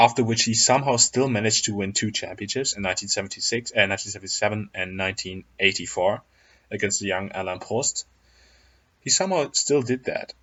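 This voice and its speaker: A man with a fairly low voice speaks at a very fast pace, his pitch varying in an ordinary way. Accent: non-native. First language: not English. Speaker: YouTuber, F1 commentator. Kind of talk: casual video commentary.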